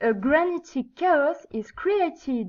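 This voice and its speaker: A woman with a French accent speaks at a very slow pace, her pitch swinging very widely. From France. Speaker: geology student. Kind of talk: student project presentation. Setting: low-quality microphone.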